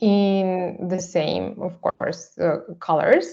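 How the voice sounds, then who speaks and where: Speaking at a very slow pace, a woman with a Russian accent holds a medium pitch. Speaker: artist. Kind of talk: seminar presentation. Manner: halting, many fillers.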